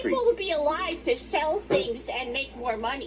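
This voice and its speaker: A high-pitched, put-on character voice over clear background noise. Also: moderate pace. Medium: actual play.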